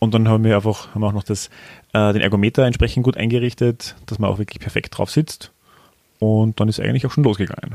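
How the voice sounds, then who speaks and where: Here a man speaks very fast in a dark, mellow, fairly low voice. His intonation stays fairly even. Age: 30s. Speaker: podcast co-host and amateur cyclist. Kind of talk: casual chat. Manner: hesitant, many fillers.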